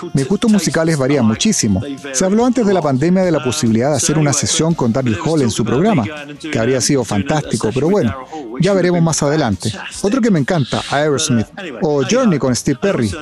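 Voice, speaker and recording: Over noticeable background noise, a man with a fairly high pitch talks at a very fast pace, his pitch swinging very widely while his loudness stays very even. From Chile. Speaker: podcast host and Spanish voice-over interpreter. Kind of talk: dubbed Spanish voice-over of interview answers.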